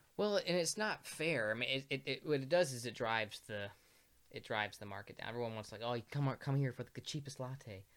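Speaking at a fairly quick pace with lively intonation, a man has an ordinary speaking voice at a medium pitch. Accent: American. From US Midwest, Peoria, Illinois. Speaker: coffee roaster. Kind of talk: casual chat.

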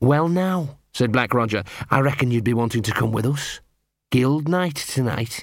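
Against a quiet background, the voice reads aloud in an unforced way.

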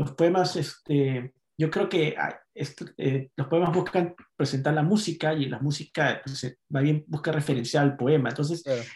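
Somewhat breathy, a man speaks at a fairly slow pace with fairly high pitch and fairly even intonation. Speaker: poet and novelist. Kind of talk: casual chat.

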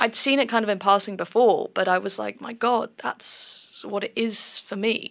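With a southern English accent, a woman talks at a moderate pace with hardly any pauses. Her fairly high pitch carries vocal fry and fairly even intonation. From southern England. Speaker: gender researcher. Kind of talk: interview.

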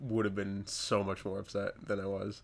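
With monotone, flat intonation, the man speaks at a fairly low pitch. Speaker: podcast host, prop maker. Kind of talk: casual chat. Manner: casual, chatty.

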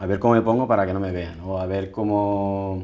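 A man's voice with a dark, mellow tone. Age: 20s. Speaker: patient with atopic dermatitis. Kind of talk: interview testimony. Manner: halting, with frequent repetitions.

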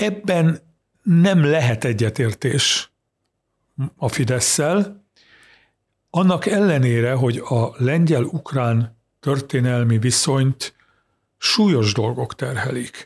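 With long, frequent pauses, a man speaks very slowly in a somewhat breathy, medium-pitched voice with lively intonation. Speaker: journalist, Poland expert. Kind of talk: interview on politics. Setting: studio.

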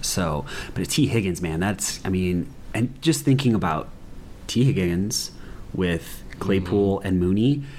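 The voice has ordinary pitch variation against noticeable background noise. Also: man. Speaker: sports podcast host. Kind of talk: casual chat. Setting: in person, same room.

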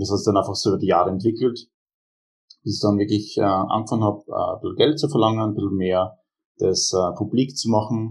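A somewhat breathy, fairly low male voice at a very fast pace, with ordinary pitch variation. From Austria, Graz (Styria). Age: 20s. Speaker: powerlifter and strength coach. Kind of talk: casual interview.

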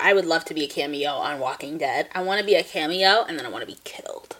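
A woman at a very fast pace, animated in tone with ordinary pitch variation, over noticeable background noise. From New Jersey. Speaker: podcast co-host. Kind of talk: casual chat. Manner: animated, frequent laughter.

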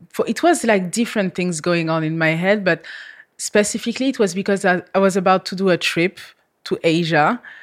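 Talking at a fairly quick pace, a woman uses a medium pitch with ordinary pitch variation. The recording is very clean, with a silent background. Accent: French. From France. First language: French. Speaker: model. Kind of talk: casual chat. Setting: studio.

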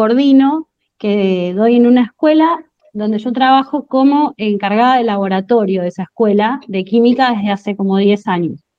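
A woman with an Argentine accent speaks at a fairly slow pace. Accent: Rioplatense Argentine Spanish. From Argentina, Monte Grande, southern Greater Buenos Aires. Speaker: chemistry teacher. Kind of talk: interview.

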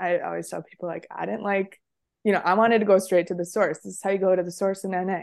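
A woman's medium-pitched voice in an American accent, very fast pace, monotone, flat intonation, vocal fry and big swings in loudness, over a quiet background. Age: 20s. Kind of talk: casual interview.

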